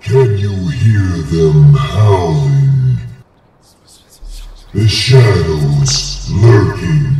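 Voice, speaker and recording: A man's cartoonish character voice, fairly low in pitch with very wide pitch swings, at a very slow pace with long, frequent pauses and slight echo. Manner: ominous, eerie.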